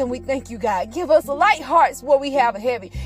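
An animated, playful tone at a moderate pace over noticeable background noise. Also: woman. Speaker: podcaster. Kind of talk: fervent prayer. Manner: pleading, earnest, repeating 'God' rhythmically; animated, sassy, playful.

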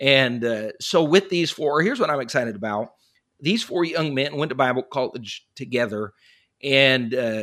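An ordinary speaking voice, a man's and fairly high in pitch, with an American accent at a moderate pace, on a very clean recording with a silent background. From western Colorado. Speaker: pastor and former missionary. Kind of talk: interview conversation.

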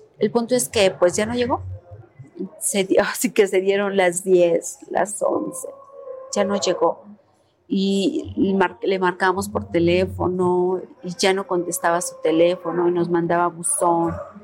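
Noticeable background noise sits behind a woman's voice. She speaks at a fairly slow pace. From Puebla, Mexico. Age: 40s. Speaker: activist mother of a disappeared son. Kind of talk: testimony.

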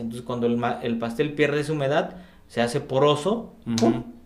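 Fairly even intonation from a man at medium pitch, moderate in pace, amid audible room echo. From Oaxaca, Mexico. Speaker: sociologist and cycling activist. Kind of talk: interview conversation. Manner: halting, many fillers.

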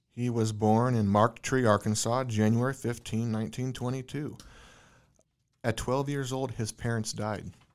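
An ordinary speaking voice from a man at medium pitch and moderate pace, fairly even in intonation, on a very clean recording with a silent background. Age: 30s. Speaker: podcast host. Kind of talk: casual interview. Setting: guest's office.

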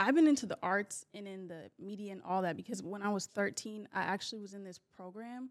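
A woman's normal speaking voice at medium pitch, fairly quick, with ordinary pitch variation and big swings in loudness. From US West Coast, Bay Area, Northern California. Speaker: film costumer. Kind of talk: casual chat.

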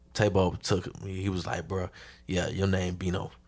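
A man's very deep, low pitch with an American accent on a very clean recording with a silent background. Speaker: rapper, podcast guest. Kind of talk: casual chat.

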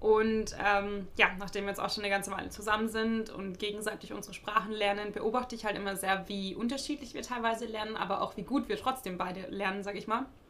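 Against noticeable background noise, a woman talks fairly quickly at a medium pitch with fairly even intonation. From Germany. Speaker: podcast host. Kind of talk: solo podcast monologue, advice. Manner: casual, many filler sounds.

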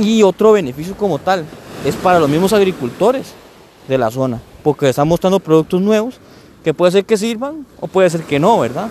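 A man speaks at a fairly quick pace with lively intonation and a high pitch. The sound is dry and close with no echo, and there is noticeable background noise. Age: 30s. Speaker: podcaster. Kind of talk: casual monologue. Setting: outdoors on a beach. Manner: halting.

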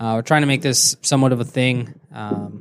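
A man's fairly quick speech keeps a fairly even intonation. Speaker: podcast co-host. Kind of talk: casual banter over beers. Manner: hesitant, filler-heavy, joking.

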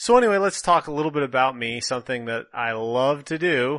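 A man with an American accent talks at a moderate pace in a bright, sharp tone over a quiet background. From northern Minnesota. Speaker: professor. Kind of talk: monologue. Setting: home office, headset. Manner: casual.

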